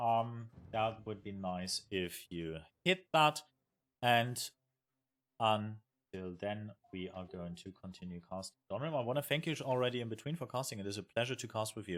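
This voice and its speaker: Very clean recording with a silent background: a man with a German accent, fairly low pitch and lively intonation. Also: moderate pace. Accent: German accent, recognizable. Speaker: esports caster and streamer. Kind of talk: live commentary. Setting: live stream. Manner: halting, many fillers.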